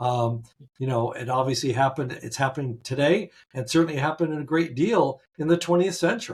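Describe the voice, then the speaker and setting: A man with a fairly high, somewhat breathy voice speaks fairly quickly, his pitch varying in an ordinary way. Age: 70s. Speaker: interviewee voter. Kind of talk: interview. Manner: halting.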